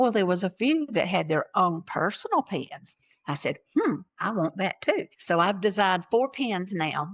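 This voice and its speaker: A woman talks in a Southern US accent. Her pace is fairly slow, with hardly any pauses. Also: medium pitch for a woman, lively intonation. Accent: Southern American. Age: 60s. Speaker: transplant recipient and donation advocate. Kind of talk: personal testimony. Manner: animated.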